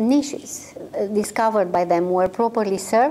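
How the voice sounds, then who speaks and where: Her voice has a dark, mellow tone, a fairly high pitch and ordinary pitch variation as this woman speaks. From Romania. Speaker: microfinance consultancy executive. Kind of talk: interview. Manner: halting, many fillers.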